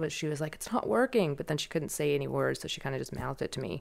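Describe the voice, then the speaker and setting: On a very clean recording with a silent background, a woman talks in a very deep, low voice with vocal fry. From Hong Kong. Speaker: stroke survivor's sister and caregiver. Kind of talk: interview.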